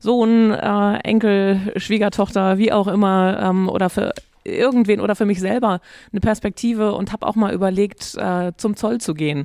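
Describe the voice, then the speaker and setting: A woman's medium-pitched voice, dark and mellow in tone, at a moderate pace with fairly even intonation, in a dry, close sound with no echo. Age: 50s. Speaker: podcast host. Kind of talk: interview.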